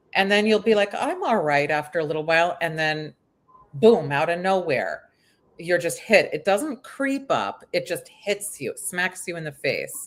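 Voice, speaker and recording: With lively intonation, this unremarkable speaking voice moves at a moderate pace. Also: woman, medium pitch for a woman. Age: 50s. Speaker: aging expert. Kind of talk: casual chat.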